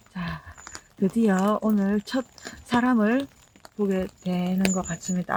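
With noticeable background noise behind her, a woman of medium pitch speaks at a very slow pace in a Gyeongsang accent. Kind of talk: casual walking vlog chat.

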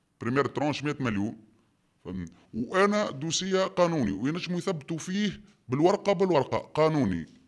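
Over a quiet background, a man with a Tunisian accent talks at a moderate pace, his pitch swinging very widely. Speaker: quarry business owner. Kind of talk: testimony. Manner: animated. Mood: indignant, accusing. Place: home room.

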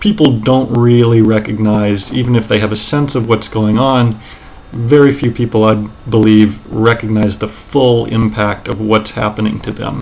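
Keeping his intonation fairly even, a man talks at a moderate pace. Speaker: commentary video creator. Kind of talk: commentary narration to camera. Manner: monotone. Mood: earnest, serious. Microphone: webcam.

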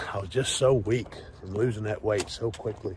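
Noticeable background noise accompanies a man speaking at a fairly low pitch. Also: dry sound with no echo. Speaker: fitness vlogger. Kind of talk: casual vlog chat. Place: street. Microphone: earbuds.

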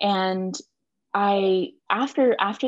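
The recording of a woman sounds dry with no echo, her ordinary pitch variation set against a quiet background. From US South. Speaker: reproductive health herbalist; podcast guest. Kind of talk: casual interview. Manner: passionate. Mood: warm, reflective. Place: home room. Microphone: video call.

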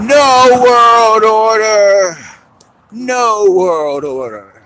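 This put-on character voice sits at a fairly high pitch and moves at a very slow pace. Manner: screaming.

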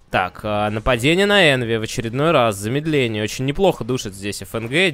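Speaking at a moderate pace, a man with a medium-pitched voice swings his pitch very widely. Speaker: esports commentator. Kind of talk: live esports commentary. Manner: excited, brisk play-by-play.

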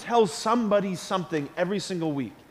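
An animated tone carried at a fairly quick pace. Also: man. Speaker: priest. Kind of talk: school Mass homily to children. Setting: church. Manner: earnest, animated, conversational; repeats key phrases for emphasis, asks the kids questions. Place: church.

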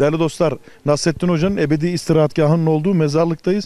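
A man talks at a very fast pace in a high voice with a dark, mellow tone. The sound is dry, with no echo. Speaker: travel show host; TV travel show host. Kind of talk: casual on-location chat. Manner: animated.

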